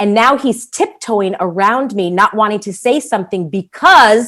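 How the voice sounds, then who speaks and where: A woman at a fairly high pitch, enthusiastic and animated, with lively intonation at a moderate pace. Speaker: entrepreneur, podcast guest. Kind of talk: interview conversation. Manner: enthusiastic, animated.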